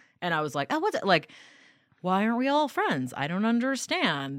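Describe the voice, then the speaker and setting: In a very clean recording with a silent background, a woman with an American accent talks with very wide pitch swings. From New York. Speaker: stand-up comedian. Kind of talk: casual chat.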